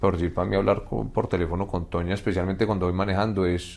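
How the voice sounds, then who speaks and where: A man's very deep, low voice over a quiet background. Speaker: husband of a podcast host. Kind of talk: casual interview chat. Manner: halting, repetitive.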